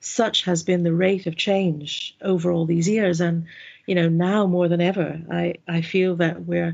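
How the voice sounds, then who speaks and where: At a fairly slow pace, a woman with an American accent speaks in a fairly low pitch, with monotone, flat intonation and very even loudness. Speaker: mindfulness instructor and organisational development adviser. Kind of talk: interview. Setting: working from home.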